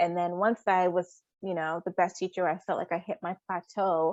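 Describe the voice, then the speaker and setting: In a dry, close recording with no echo and a quiet background, a woman with an American accent talks at a medium pitch and a moderate pace. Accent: American with Liberian accent slipping in. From Rhode Island, US, Liberian community. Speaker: teacher. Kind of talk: interview. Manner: hesitant fillers.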